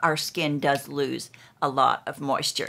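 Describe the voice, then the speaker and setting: Vocal fry marks a woman's voice on a very clean recording with a silent background. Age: 80s+. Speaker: brand ambassador. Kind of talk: beauty routine demonstration to camera.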